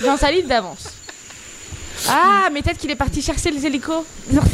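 A woman speaks at a high pitch and a fairly quick pace, with long, frequent pauses. Noticeable background noise sits behind her voice. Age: 20s. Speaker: radio show co-host. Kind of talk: casual chat. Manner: animated.

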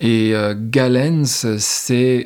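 Medium pitch from a male speaker. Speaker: podcast host. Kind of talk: reflective solo monologue. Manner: unscripted, spontaneous.

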